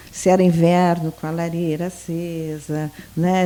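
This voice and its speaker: Noticeable background noise sits behind a woman with a gaúcho accent and a fairly low pitch. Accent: border gaúcho accent, kept, sing-song. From southern Brazil, Santa Vitória do Palmar border region. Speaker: sociologist, former university lecturer. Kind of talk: casual interview chat.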